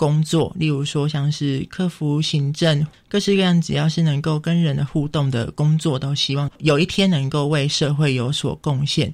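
A somewhat breathy man's voice at fairly high pitch, moderate pace and fairly even intonation, with hardly any pauses. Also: very even loudness. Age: 20s. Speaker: visually impaired university student. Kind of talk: radio interview.

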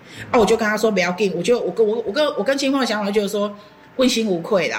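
A woman with a Taiwanese accent speaks very fast at medium pitch. There is noticeable background noise. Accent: Taiwanese Mandarin. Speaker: horticultural therapist. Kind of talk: interview.

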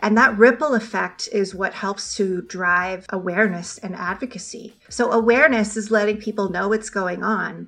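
With a Canadian accent, a woman of medium pitch speaks at a moderate pace with fairly even intonation and hardly any pauses, over noticeable background noise. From Ontario, Canada. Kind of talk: radio interview.

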